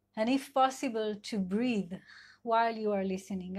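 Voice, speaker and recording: A woman with an Israeli accent, fairly high pitch, fairly even intonation and a moderate pace. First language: Hebrew. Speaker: sex and couple therapist. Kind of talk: live talk. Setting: online live video session. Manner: halting, many fillers.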